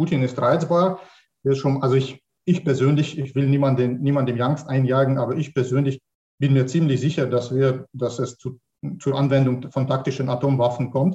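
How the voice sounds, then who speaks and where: A man with a Russian accent and medium pitch speaks at a moderate pace with fairly even intonation in a dark, mellow, somewhat breathy tone. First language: Russian (speaking German). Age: 40s. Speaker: mathematics professor. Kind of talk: online panel discussion. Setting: online panel, video call. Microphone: poor sound quality.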